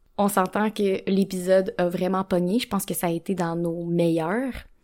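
A woman with a Quebec accent speaks at a fairly slow pace, her medium-pitched voice dark and mellow. Her intonation is fairly even, in a very clean recording with a silent background. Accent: Québécois French. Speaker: podcast co-host, sexologist. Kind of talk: casual chat.

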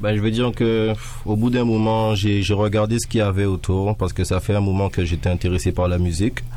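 A man in a plain, everyday voice, fairly low pitch, fairly even intonation and a fairly quick pace. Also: very even loudness. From France. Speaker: rapper. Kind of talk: casual interview.

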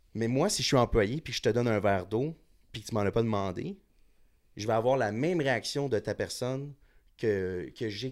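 A man with a plain, everyday voice talks at a fairly quick pace with ordinary pitch variation. The recording is very clean, with a silent background. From Montréal, Quebec. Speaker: bartender. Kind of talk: casual chat.

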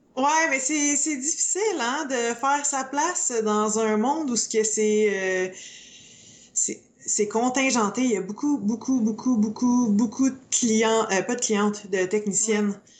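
With a Quebec accent, a woman speaks very slowly at a fairly high pitch, with ordinary pitch variation and very even loudness. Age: 30s. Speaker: beauty salon owner and eyelash extension trainer. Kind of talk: casual chat.

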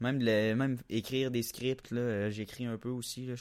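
With a Quebec accent, a man speaks in fairly even intonation on a very clean recording with a silent background. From Quebec, La Tuque. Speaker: aspiring comedian. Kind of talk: casual chat.

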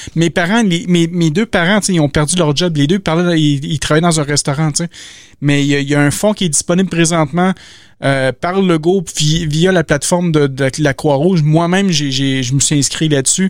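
A man with a Quebec accent, fairly high in pitch, at a moderate pace and with very even loudness. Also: ordinary pitch variation. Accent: Québécois French. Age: 30s. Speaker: podcast host. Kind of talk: casual chat. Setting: video call.

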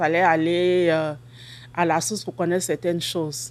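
A woman speaks with a normal speaking voice at a moderate pace. Her pitch is fairly low, with ordinary variation. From Ivory Coast, Abidjan. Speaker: grocery store owner. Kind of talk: interview.

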